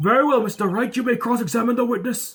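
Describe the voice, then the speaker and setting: A man in a put-on character voice, extremely high in pitch, at a very fast pace. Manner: formal, authoritative.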